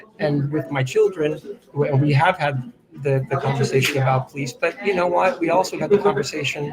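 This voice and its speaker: Fairly high-pitched male speech with an American accent at a moderate pace, ordinary pitch variation and noticeable background noise. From Boston area, US. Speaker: author. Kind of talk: interview conversation.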